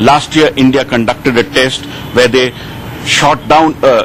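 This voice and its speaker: A medium-pitched man's voice with noticeable background noise. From India. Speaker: science editor, TV reporter. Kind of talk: TV news live interview answer.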